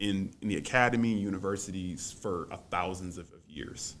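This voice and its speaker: A moderate pace with an American accent, plus audible room echo. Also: man. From US South, New Orleans. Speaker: college student and debater. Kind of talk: interview. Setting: podcast studio. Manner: halting, many fillers and repetitions.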